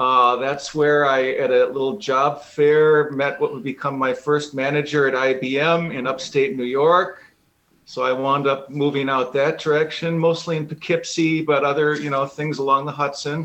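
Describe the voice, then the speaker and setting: The speaker has an Upper Midwest accent. Delivery comes at a moderate pace with monotone, flat intonation. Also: man, fairly high pitch for a man. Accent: Upper Midwest American. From Wisconsin, Milwaukee suburbs. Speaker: musician. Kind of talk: radio interview.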